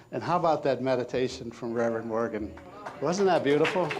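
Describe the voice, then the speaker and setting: The speech has ordinary pitch variation and a moderate pace, with audible room echo and noticeable background noise. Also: man. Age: 60s. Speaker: minister. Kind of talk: sermon. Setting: church.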